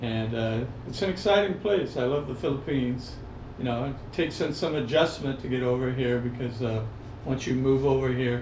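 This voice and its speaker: A man speaks at a moderate pace and medium pitch, with ordinary pitch variation. Noticeable background noise and audible room echo are present. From Hawaii (Maui), born in Los Angeles County. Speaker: retired expat surfer. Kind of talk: interview. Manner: relaxed, many fillers.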